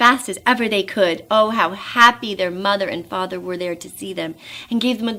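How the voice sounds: The speaker uses a natural reading voice.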